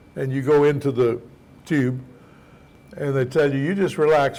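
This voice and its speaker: Speaking at a moderate pace, a man with a fairly high pitch is heard with audible room echo. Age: 80s+. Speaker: pastor and ministry teacher. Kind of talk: sermon. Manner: conversational storytelling, humorous.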